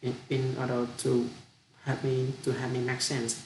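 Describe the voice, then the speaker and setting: A man with a Vietnamese accent talks at a fairly slow pace in a medium pitch. There is audible echo in the room. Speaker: international student. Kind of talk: language practice monologue. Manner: halting; deliberately slow.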